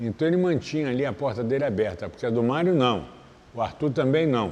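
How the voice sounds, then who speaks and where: Lively intonation runs through a man's speech. His pitch is medium and his pace moderate. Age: 60s. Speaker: capoeira master. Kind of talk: interview. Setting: capoeira academy.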